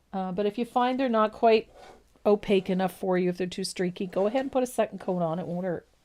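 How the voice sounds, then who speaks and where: A woman with a slight East Coast Canadian accent talks at a very fast pace in a medium pitch with ordinary pitch variation, on a very clean recording with a silent background. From East Coast of Canada. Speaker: painting instructor. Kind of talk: tutorial. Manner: casual, chatty.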